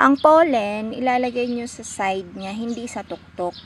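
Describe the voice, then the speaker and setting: A woman with an Ilocano accent speaks at a very slow pace and a fairly high pitch, with ordinary pitch variation. Noticeable background noise runs beneath her. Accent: Ilocano-accented Tagalog. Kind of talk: gardening tutorial. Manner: casual, hesitant with fillers.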